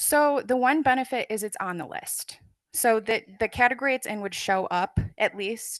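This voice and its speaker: A plain, everyday voice: a woman with fairly high pitch, ordinary pitch variation and a moderate pace, in a dry, close sound with no echo against a quiet background. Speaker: librarian presenter. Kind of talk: conference presentation Q&A.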